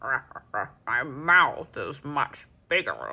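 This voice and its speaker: This put-on character voice sits at a middle pitch and comes out croaky and growling. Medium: read story.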